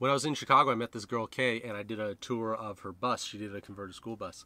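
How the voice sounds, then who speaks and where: Dry with no echo, a man's bright, sharp voice moves at a fairly quick pace. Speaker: comedian vlogger. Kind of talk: casual vlog chat. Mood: wry, joking. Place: car. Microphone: phone near.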